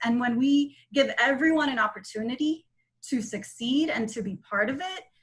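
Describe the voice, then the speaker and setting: A woman speaks in an unremarkable speaking voice. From Nicaragua, raised in South Florida. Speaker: lawyer and political candidate. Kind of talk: interview. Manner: fillers and repetitions, conversational.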